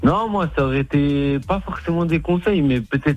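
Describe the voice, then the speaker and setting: A man at a fairly quick pace with lively intonation, music in the background. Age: 20s. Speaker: caller. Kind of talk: casual chat.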